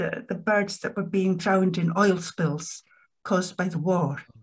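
Over a quiet background, a woman with a Scottish accent speaks at a fairly slow pace in a somewhat breathy voice. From Edinburgh, Scotland; Scotland. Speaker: poet and academic; poet. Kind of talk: poetry reading. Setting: video call. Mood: calm, reflective. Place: home room. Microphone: webcam.

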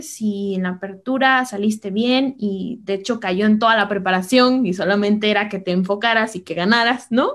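Recorded very cleanly against a silent background, a woman with a fairly high pitch and ordinary pitch variation has an unremarkable speaking voice. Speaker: chess master and coach. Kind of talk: interview with chess game analysis.

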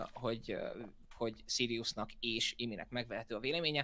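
This man speaks at a fairly quick pace. His tone is bright and sharp. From Hungary. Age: 20s. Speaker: board game YouTuber. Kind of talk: heated debate. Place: home room.

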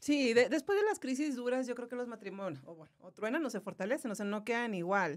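A woman talks at a fairly quick pace with a fairly high pitch. Her voice moves through very wide pitch swings. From Monterrey, northern Mexico. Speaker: cancer survivor, content creator and voice-over artist. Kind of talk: testimony.

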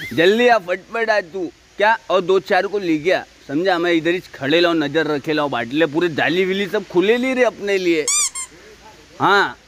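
With ordinary pitch variation, the speech runs at a fairly slow pace over light background noise, with a dry sound and no echo. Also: man. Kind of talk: acted comedic street monologue and phone call. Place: street.

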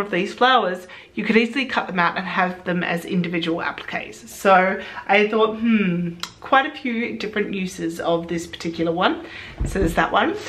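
Speech comes at a fairly quick pace with lively intonation. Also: woman. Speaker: sewing vlogger. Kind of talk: casual vlog chat. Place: home room.

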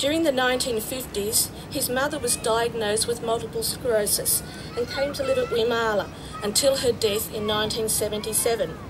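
Noticeable noise sits in the background. The talking proceeds at a moderate pace. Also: woman. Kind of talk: formal speech. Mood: warm, reminiscent. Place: open country.

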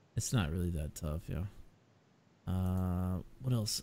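The recording is very clean with a silent background, and a man talks at a moderate pace. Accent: Southern US. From US South. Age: adult, 20s or older. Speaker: livestream talk show host. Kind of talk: casual livestream chat.

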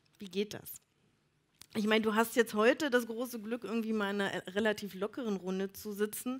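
This is an ordinary speaking voice at a fairly quick pace, with fairly even intonation. Loudness swings a lot. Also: woman, fairly high pitch for a woman. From Elbe-Elster, Brandenburg. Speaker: event moderator. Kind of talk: live event moderation.

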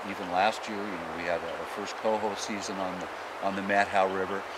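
The sound is dry, with no echo at all. A man talks at a moderate pace under loud background noise. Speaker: fishing show host. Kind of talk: TV show commentary. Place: forest.

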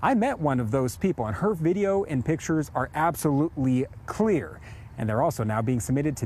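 A man at a fairly quick pace with very wide pitch swings, in a dry sound with no echo. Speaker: TV news reporter. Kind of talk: live news report. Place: street. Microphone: lapel.

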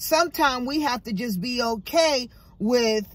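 This woman's somewhat breathy voice has a dry sound with no echo. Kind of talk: casual vlog chat, motivational. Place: car. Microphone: phone near.

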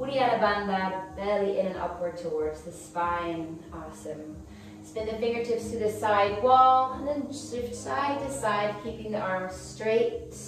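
A woman speaks at a fairly slow pace with strong room echo. Light background noise can be heard. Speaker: yoga instructor. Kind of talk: instruction. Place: home room.

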